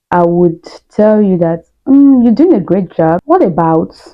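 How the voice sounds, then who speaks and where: In a Nigerian accent, a woman speaks at a fairly low pitch. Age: adult, not young. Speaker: YouTuber, student immigrant. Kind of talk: casual vlog monologue.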